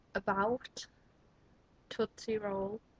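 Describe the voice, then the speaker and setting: The speaker talks with a Liverpool accent and fairly even intonation, in a dry, close sound with no echo. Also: woman. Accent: Liverpool (Scouse). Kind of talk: casual vlog talk to camera.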